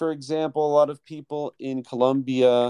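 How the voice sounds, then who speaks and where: A man with a Mid-Atlantic accent speaks at a fairly slow pace in a fairly high pitch. The sound is dry and close, with no echo. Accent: American, Mid-Atlantic. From US, Philadelphia suburbs. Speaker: English teacher. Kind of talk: casual interview chat.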